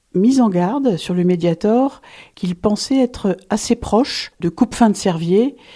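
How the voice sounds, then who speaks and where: A woman with a dark, mellow tone and lively intonation is heard on a very clean recording with a silent background. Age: 60s. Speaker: pulmonologist. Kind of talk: interview testimony.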